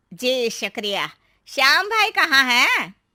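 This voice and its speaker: A woman's cartoonish character voice, high in pitch, with very wide pitch swings. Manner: nervous, startled.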